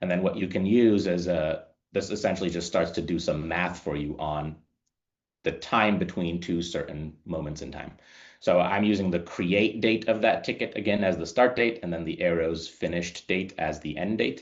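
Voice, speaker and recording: A man talks in a very deep, low pitch with ordinary pitch variation. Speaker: customer onboarding specialist leading a training webinar. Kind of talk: software tutorial webinar. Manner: fast.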